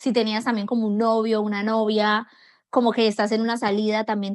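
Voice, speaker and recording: Speaking fairly quickly, a woman uses a fairly high pitch and monotone, flat intonation. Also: very clean recording, silent background. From Colombia. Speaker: foreigner sharing experiences of Brazil. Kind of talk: personal testimony.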